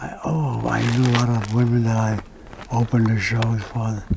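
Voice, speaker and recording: Speaking at a fairly slow pace and a medium pitch, a man talks with a Hawaiian accent. Audible room echo and noticeable background noise surround his voice. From Hawaii (Kauai). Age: 80s+. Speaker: singer. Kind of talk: interview. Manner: halting.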